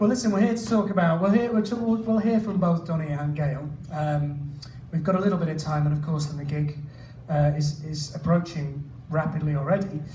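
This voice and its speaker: A man talks at a fairly quick pace with a British accent and a fairly high pitch. His pitch variation is ordinary, and audible room echo surrounds him. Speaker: event host, interviewer. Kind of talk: Q&A interview.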